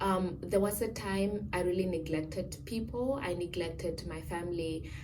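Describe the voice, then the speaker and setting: A woman speaks at a moderate pace with a fairly low pitch and ordinary pitch variation, her voice carrying audible room echo over noticeable background noise. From Namibia. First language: a Namibian home language. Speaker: student vlogger. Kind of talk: casual Q&A vlog. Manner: hesitant, many fillers.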